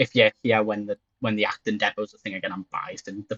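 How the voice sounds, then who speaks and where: A man talks with a Geordie accent at a very fast pace. His pitch is fairly low. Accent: Geordie (Newcastle English). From northern England, Newcastle. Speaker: streamer. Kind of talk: casual chat.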